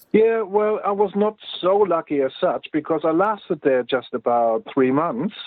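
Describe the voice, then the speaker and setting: A man with a German accent speaks at a moderate pace with hardly any pauses. His pitch is high and his intonation lively. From East Germany. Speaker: Cold War veteran. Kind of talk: interview answer.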